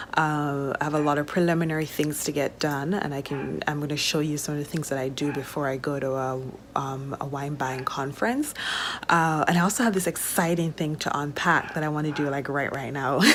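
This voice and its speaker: Through noticeable background noise, a woman with a very deep, low pitch speaks at a fairly quick pace and with fairly even intonation. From Jamaica. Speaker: vlogger, wine importer. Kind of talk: casual vlog chat. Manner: casual with many fillers.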